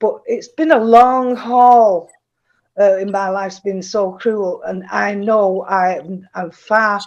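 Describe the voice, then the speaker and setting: A woman at medium pitch, speaking very slowly with ordinary pitch variation. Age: 70s. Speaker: caller sharing experiences on a live stream. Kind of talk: casual chat. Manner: halting.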